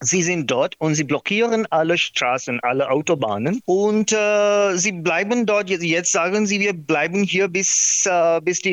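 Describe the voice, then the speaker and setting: A man with a non-native accent speaks at a fairly slow pace in a high voice, his intonation lively, his loudness very even, hardly any pauses, and the sound dry and close with no echo. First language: not German (speaking German). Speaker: documentary filmmaker. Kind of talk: interview. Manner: halting.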